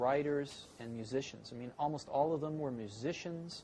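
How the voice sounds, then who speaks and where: A man with an American accent, a dark, mellow tone, lively intonation and a fairly slow pace. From San Francisco, California. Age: 40s. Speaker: tech entrepreneur. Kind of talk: interview answer.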